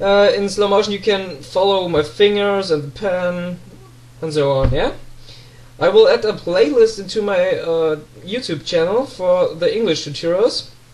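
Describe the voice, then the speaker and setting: A man with a German accent, high pitch, moderate pace and ordinary pitch variation. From Germany. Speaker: pen spinning tutor. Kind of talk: casual talk to camera.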